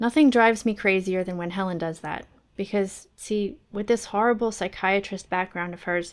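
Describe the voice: The reading aloud is plain, and its pitch moves by an ordinary amount.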